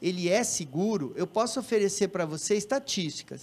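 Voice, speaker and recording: Ordinary pitch variation in a man's high voice, delivered at a moderate pace. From Brazil, Londrina (Paraná); Paraná, Brazil. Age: 50s. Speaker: gynecologist; guest. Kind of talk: TV health Q&A. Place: studio. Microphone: handheld.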